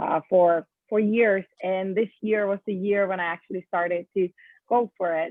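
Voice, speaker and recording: A woman speaks with a Finnish accent. Her intonation is fairly even. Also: medium pitch for a woman, moderate pace. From Finland. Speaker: event planner, business owner. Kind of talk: interview. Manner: hesitant, many fillers.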